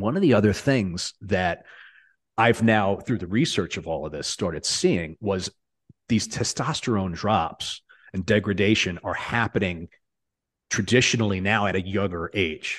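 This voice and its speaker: A man with an ordinary speaking voice talks at a moderate pace, fairly low in pitch. His pitch varies normally, and the background is quiet. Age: 40s. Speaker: lighting designer. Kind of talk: casual chat.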